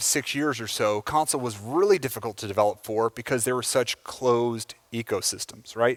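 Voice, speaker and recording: In a plain, everyday voice, a man with an American accent speaks at a medium pitch with ordinary pitch variation, recorded dry and close with no echo against a silent, very clean background. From United States. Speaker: software engineer giving a conference talk. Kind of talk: conference talk. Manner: casual, with many filler words.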